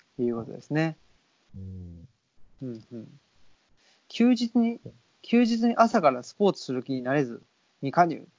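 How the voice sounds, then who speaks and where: A fairly high-pitched man talks with very wide pitch swings, big swings in loudness, and long, frequent pauses. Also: moderate pace. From Saitama, Japan (born Tokyo). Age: 30s. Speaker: podcast host. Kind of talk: casual chat. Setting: Skype call.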